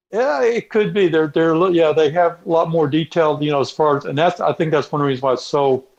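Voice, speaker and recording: A man with a Texas accent talks at a fairly quick pace, hardly pausing at all. His pitch is fairly high, with ordinary variation. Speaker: robotics mechanic. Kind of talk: casual interview. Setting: remote call from garage. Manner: halting, many repetitions. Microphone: connection cutting out.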